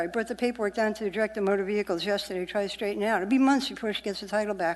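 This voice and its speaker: A woman with a New York accent. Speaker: member of the public testifying. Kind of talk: public testimony. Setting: municipal assembly meeting. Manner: animated.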